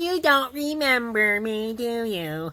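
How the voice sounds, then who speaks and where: A female-sounding put-on character voice comes through at a fairly high pitch for a woman. The pace is fairly slow. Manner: flirty.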